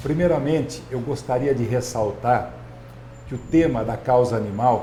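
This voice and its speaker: Over noticeable background noise and audible room echo, a man speaks at a fairly slow pace, his medium pitch showing ordinary variation. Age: 60s. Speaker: physician and mayoral candidate. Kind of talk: political discussion.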